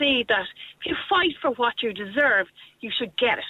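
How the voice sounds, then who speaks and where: Speaking with an Irish accent, a woman uses a high pitch and lively intonation at a moderate pace. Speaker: youth programme teacher. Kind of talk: radio phone-in. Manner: cheerful.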